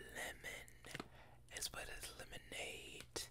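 A man whispers, soft-spoken throughout. Loud background noise fills the recording. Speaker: vlogger. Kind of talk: casual vlog chat. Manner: soft close-mic ASMR whisper. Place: home room. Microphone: studio mic.

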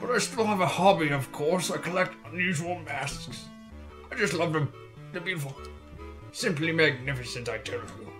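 Over clear background music, a man does a put-on character voice at a fairly high pitch and a moderate pace. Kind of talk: haughty, formal. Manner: pompous, grandiose.

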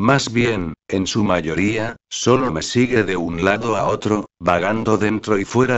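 A man with a plain, everyday voice, a fairly slow pace, a fairly low pitch and ordinary pitch variation. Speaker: narrator. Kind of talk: dramatic horror narration, first-person creepypasta read aloud. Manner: slow, suspenseful, brooding.

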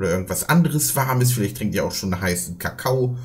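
A man speaks with lively intonation and a somewhat breathy quality. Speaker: reaction streamer. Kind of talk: casual reaction commentary.

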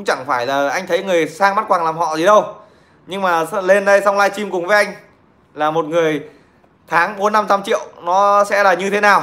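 A man with a high pitch speaks in a raised, projected voice at a moderate pace, with ordinary pitch variation. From Nghệ An, Vietnam; Vietnam. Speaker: livestreamer telling stories. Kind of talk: casual livestream chat and storytelling. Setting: online livestream. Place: home room. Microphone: phone near.

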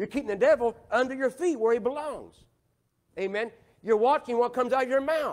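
A man speaks at an extremely high pitch with ordinary pitch variation. His pace is fairly quick. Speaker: pastor. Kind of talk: Sunday sermon, call-and-response preaching with scripture. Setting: church. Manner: emphatic, rhetorical questions to the congregation; driving, repetitive cadence pressing listeners to agree. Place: church. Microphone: lapel.

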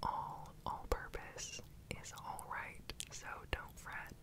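Someone whispers in a relaxed tone. Noticeable background noise can be heard. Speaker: ASMR baking creator. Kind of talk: whispered ASMR cooking voiceover. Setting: home kitchen, close microphone. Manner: whispered, relaxed, soft-spoken.

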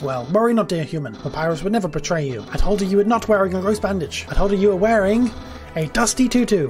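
Clear music runs in the background beneath a strained, put-on character voice at a middle pitch. The delivery is very fast. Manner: theatrical, dramatic.

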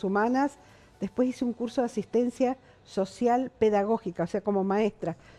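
A woman speaks with a dark, mellow tone. Her pace is moderate. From Argentina, San Juan (Caucete); San Juan, Argentina. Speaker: veteran television journalist; interviewee, TV presenter. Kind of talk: interview. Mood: reflective, calm. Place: studio.

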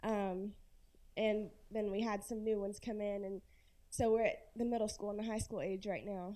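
Speaking at a moderate pace with a Southern US accent, a woman has a fairly high pitch, a dark, mellow tone and monotone, flat intonation. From Florence, South Carolina; South Carolina. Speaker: audience member. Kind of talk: audience question. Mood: concerned, earnest. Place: hall.

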